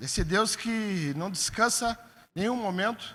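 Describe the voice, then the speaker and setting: In a very clean recording with a silent background, a man uses a raised, projected voice at a high pitch, with a bright, sharp tone and ordinary pitch variation. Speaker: pastor. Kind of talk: sermon. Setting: church.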